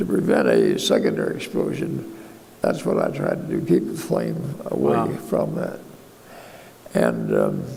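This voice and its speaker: A man with an American accent at a moderate pace, noticeable background noise behind him. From United States. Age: 80s+. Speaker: war veteran. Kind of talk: interview answer.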